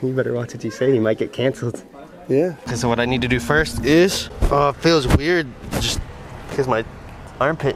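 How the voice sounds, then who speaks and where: Noticeable background noise sits under a dry, echo-free sound, and the pitch varies in an ordinary way. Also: man. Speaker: vlogger. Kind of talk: casual vlog with strangers. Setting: outdoors on location. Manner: fast talker; playful. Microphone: phone near.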